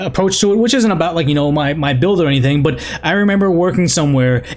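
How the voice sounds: Very fast and lively in intonation, a man talks at a fairly high pitch with very even loudness amid noticeable background noise. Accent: American.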